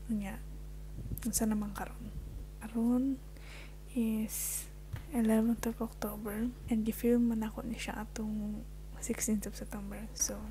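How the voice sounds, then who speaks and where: A soft-spoken woman talks fairly slowly with long, frequent pauses against noticeable background noise. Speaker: vlogger. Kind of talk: casual vlog storytime.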